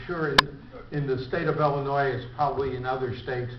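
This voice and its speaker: With an American accent, a man speaks in a fairly high pitch and fairly even intonation, over noticeable background noise and audible room echo. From US Midwest, Chicago. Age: 70s. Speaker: club member giving biography talk. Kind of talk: autobiographical speech. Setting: breakfast meeting with audience. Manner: halting.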